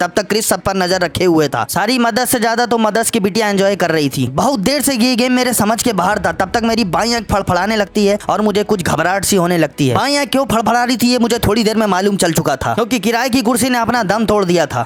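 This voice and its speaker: In a playful tone, a man speaks in a high pitch with ordinary pitch variation, very even loudness and hardly any pauses, while noticeable background noise plays behind him. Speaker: vlog voiceover narrator; dance studio owner, dance teacher. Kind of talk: comic vlog voiceover narration. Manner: humorous, playful.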